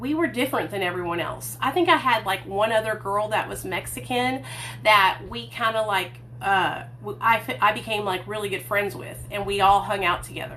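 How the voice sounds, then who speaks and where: With a Southern accent, a woman speaks at a moderate pace over noticeable background noise. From US South, Hot Springs, Arkansas. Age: 30s. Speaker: recovery vlogger. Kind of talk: livestream storytelling. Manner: casual, chatty.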